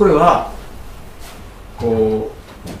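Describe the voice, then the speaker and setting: A man with lively intonation is heard through noticeable background noise and audible room echo. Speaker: pastor. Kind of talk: sermon. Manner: frequent fillers, hesitant.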